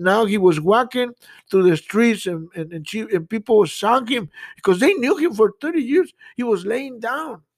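A man with a Spanish accent speaks at a moderate pace in a high pitch. His intonation is lively, and the sound is dry and close with no echo. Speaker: pastor. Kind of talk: sermon. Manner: halting, frequent repetitions.

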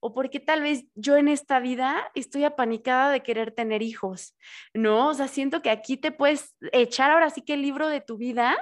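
A woman's high voice at a fairly slow pace, ordinary pitch variation, quiet background. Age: 30s. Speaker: podcast host. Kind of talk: casual interview chat. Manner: animated.

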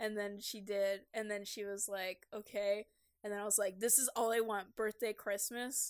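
A woman speaks in a bright, sharp tone at a fairly high pitch. Her intonation is monotone and flat. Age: 20s. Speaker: podcast co-host. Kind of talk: casual chat.

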